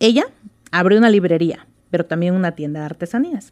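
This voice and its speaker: A woman with a Mexican accent talks at a fairly quick pace with lively intonation, recorded dry and close with no echo. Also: very clean recording, silent background. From Mexico, Oaxaca. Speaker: writer and former lawyer. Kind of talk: reading aloud her own story; interview.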